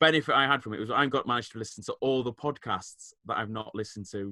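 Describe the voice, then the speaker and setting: The pace is very fast. It comes in a northern English accent. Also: man. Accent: northern English twang. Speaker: podcast co-host, teacher. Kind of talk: casual chat.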